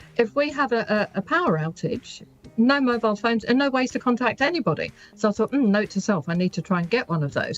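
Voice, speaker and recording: Over music in the background, the voice moves at a very fast pace with very wide pitch swings. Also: woman, fairly high pitch for a woman. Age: 60s. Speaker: business owner. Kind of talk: radio interview.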